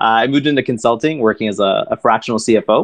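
A man with a plain, everyday voice, medium in pitch, with ordinary pitch variation and a Canadian accent. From Toronto, Canada. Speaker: private debt investment director. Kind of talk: podcast interview.

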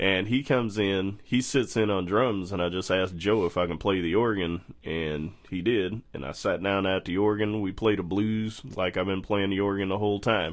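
A man's plain, everyday voice, fairly low in pitch, at a moderate pace with fairly even intonation. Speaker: jazz organist and bandleader. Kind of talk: casual interview chat. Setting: studio. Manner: relaxed, laid-back, jokey.

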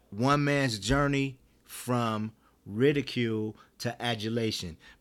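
On a very clean recording with a silent background, a man talks. His pitch is medium and his intonation fairly even. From Detroit, US Midwest. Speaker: chef. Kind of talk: interview. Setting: appliance showroom.

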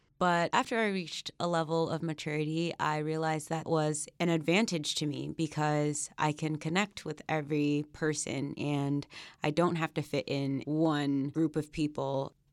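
A woman in a Mid-Atlantic accent speaks with hardly any pauses, her very deep, low pitch holding fairly even intonation, on a very clean recording with a silent background. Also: moderate pace. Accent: American, Mid-Atlantic. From Northern Virginia, Alexandria. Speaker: graduate student. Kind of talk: interview.

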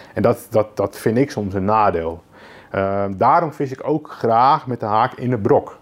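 A man with a medium pitch speaks at a fairly slow pace. His intonation is lively. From Netherlands, Lelystad (Flevoland). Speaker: carp angler and angling writer. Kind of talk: podcast interview. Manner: halting, repeats words.

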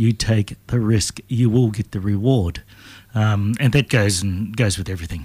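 A man's fairly low, somewhat breathy voice with a New Zealand accent, in a very clean recording with a silent background. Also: ordinary pitch variation, moderate pace. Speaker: political candidate and businessman. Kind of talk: radio interview. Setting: radio studio.

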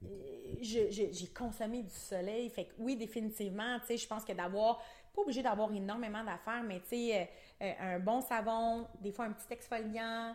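A woman with a Quebec accent speaks at a moderate pace, her pitch fairly high and her intonation fairly even. Her loudness swings widely. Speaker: aesthetic clinic owner. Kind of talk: casual chat. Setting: studio.

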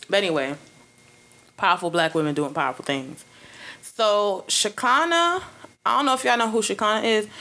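A woman with a Brooklyn accent, medium-pitched and animated in a bright, sharp tone, at a fairly quick pace with very wide pitch swings, very even loudness and long, frequent pauses. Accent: New York urban, Brooklyn. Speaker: podcast host. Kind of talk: casual chat, comedic banter with profanity. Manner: animated, loud, joking.

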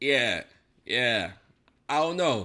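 A man's bright, sharp tone on a very clean recording with a silent background. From New Jersey. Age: 30s. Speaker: podcast host. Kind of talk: casual commentary monologue.

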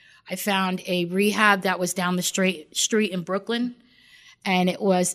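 In a New York accent, a woman speaks at a fairly quick pace with a medium pitch and fairly even intonation, on a very clean recording with a silent background. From Long Island, New York. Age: 40s. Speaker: recovering addict in rehab program. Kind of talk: testimony.

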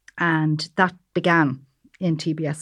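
Spoken in a flat monotone with an Irish accent. The recording is very clean, with a silent background. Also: woman. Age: old. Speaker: pharmacy professor, natural product chemist. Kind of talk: panel discussion.

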